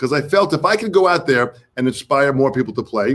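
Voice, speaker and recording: With an American accent, a man speaks at a moderate pace. His pitch is fairly high, with ordinary variation. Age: 60s. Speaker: drummer, drum educator and interview show host. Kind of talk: casual interview chat. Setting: live online stream. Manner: animated.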